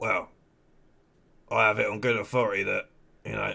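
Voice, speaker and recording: A man speaks in a put-on character voice that sounds raspy. His delivery moves at a fairly quick pace. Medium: game stream. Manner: dry, sarcastic, unbothered.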